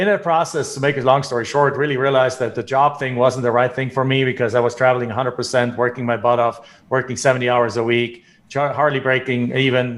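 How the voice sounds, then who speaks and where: At a fairly quick pace, a man of medium pitch speaks in a monotone, flat intonation. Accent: German. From Germany. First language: German. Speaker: real estate investor. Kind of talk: podcast interview.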